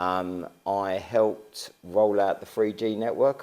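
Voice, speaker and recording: A man's fairly low, dark, mellow voice in an Estuary accent, with ordinary pitch variation. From east London, Barking and Dagenham. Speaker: local council leader. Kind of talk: interview. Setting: town hall.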